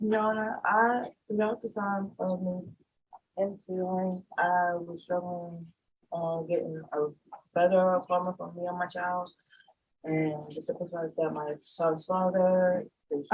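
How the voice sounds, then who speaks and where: A woman mumbles in a put-on character voice at a medium pitch and a fairly slow pace. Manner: mumbling, run-on sentences.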